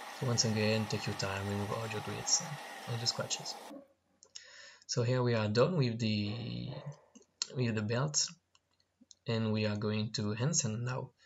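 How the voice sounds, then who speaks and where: Long, frequent pauses mark the fairly slow, somewhat breathy speech of a man with a French accent, a medium pitch and ordinary pitch variation. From France. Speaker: knifemaker. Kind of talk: tutorial voiceover.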